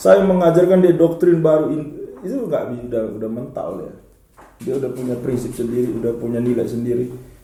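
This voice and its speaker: In a room with audible echo, a man with a medium pitch talks at a fairly quick pace, his intonation lively and his loudness swinging widely. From eastern Indonesia (NTT). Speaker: lecturer and organization leader, political talk show guest. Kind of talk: casual talk-show discussion.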